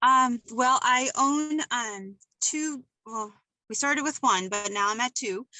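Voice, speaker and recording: A woman speaks very slowly at a high pitch. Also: ordinary pitch variation. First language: Portuguese. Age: 40s. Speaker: juice bar owner. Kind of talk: casual interview chat.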